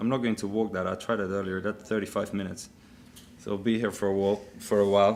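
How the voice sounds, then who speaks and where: This is a man talking. He has a Dutch accent. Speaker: business executive, keynote speaker. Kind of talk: keynote speech with live demo. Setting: conference stage with audience.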